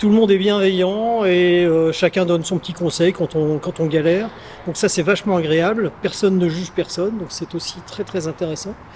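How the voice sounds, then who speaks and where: With noticeable background noise, a man speaks at a moderate pace with a high pitch and fairly even intonation. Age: 60s. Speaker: beginner RC car hobbyist. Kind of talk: casual interview.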